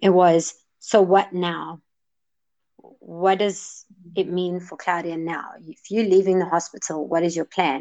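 A woman's fairly low, dark, mellow voice at a fairly slow pace, fairly even in intonation, with big swings in loudness against a quiet background. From South Africa, Johannesburg. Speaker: wellness counselor and mental health advocate. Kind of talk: interview.

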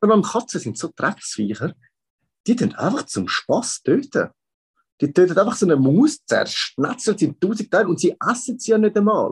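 A man with a Swiss accent speaks at a high pitch and moderate pace, and the sound is dry and close with no echo. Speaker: podcast co-host. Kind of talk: casual chat.

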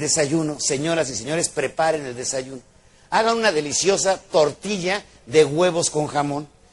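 Noticeable background noise behind a fairly high-pitched man, animated in tone, at a moderate pace with ordinary pitch variation. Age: old. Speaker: motivational speaker. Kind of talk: motivational lecture.

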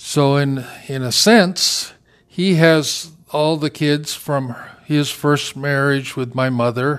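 A man with an American accent talks at a very slow pace, his pitch fairly high with ordinary variation. The recording is very clean, with a silent background. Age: 60s. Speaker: podcast preacher. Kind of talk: extemporaneous monologue. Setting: in a car. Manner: halting.

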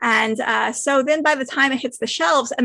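A woman with an American accent speaks in a bright, sharp tone with lively intonation. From US West Coast, San Francisco. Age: 40s. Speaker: author. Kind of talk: interview. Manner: halting, many fillers.

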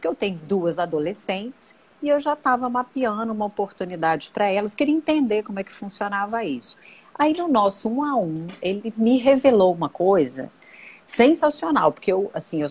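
Speaking at a moderate pace, a woman with a medium pitch makes very wide pitch swings. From Brazil, Brasília. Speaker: personal marketing consultant, live stream host. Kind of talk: casual live stream chat. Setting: Instagram live video.

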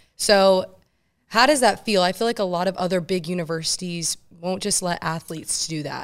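Woman with a normal speaking voice, medium pitch and ordinary pitch variation, at a moderate pace, in a very clean recording with a silent background. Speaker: podcast host and student athlete. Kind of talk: casual interview. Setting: studio.

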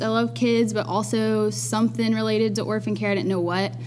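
A woman with an Alabama accent talks very fast with very wide pitch swings over noticeable background noise. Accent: Southern US (Alabama). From US South, Dothan, Alabama. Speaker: nursing student. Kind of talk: casual chat. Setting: studio.

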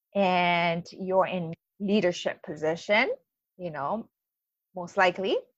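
A woman speaks with a Japanese accent. Her pace is very slow. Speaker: life coach. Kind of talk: recorded online training. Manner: enthusiastic.

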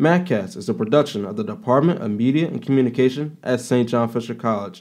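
This is a man with a normal speaking voice and a medium pitch. He talks at a fairly quick pace with lively intonation. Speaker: student podcast host. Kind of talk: interview; scripted narration. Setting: studio.

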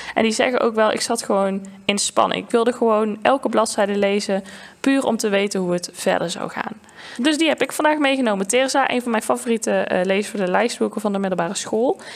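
Noticeable background noise behind a woman's fairly high voice, at a fairly quick pace with ordinary pitch variation. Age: 20s. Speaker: podcast host and librarian. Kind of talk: casual book discussion.

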